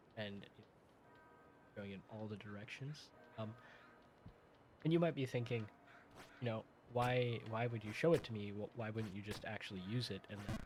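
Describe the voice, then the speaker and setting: Soft-spoken, a man talks at a moderate pace and medium pitch, leaving long, frequent pauses. His loudness swings widely, and music plays in the background. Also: ordinary pitch variation. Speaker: gaming video host. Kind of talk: casual gameplay commentary. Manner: hesitant, many fillers. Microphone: quiet, weak volume audio interface.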